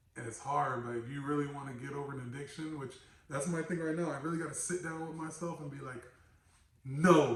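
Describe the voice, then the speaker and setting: Amid noticeable background noise and audible room echo, a man with a fairly high pitch speaks at a fairly quick pace and fairly even intonation. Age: 30s. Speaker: podcast host. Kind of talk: casual chat.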